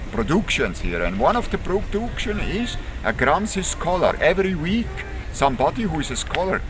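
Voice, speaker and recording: The speaker has a Swiss German accent and a moderate pace. Audible room echo and noticeable background noise are present. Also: man. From German-speaking Switzerland. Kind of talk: interview. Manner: halting.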